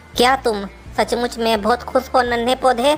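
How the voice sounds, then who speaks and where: With clear music in the background, a female-sounding cartoonish character voice speaks at a high pitch and a moderate pace. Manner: calm, gentle, preaching.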